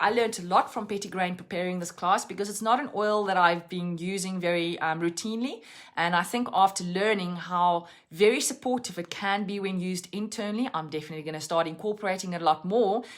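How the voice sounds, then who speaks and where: A woman at medium pitch in a South African accent, at a very fast pace with hardly any pauses. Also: ordinary pitch variation. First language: Afrikaans. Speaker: essential oils educator. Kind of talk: live-stream lesson. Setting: Facebook live stream.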